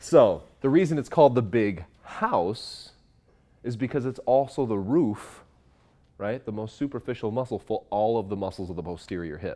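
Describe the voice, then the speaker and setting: A man's dark, mellow tone with lively intonation. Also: moderate pace. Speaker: instructor. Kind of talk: lecture. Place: classroom.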